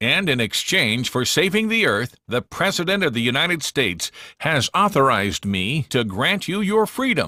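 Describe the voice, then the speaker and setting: Putting on a character voice, a man with a fairly high pitch makes very wide pitch swings at a moderate pace, his loudness very even and the sound dry and close with no echo. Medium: read story. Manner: gruff, commanding.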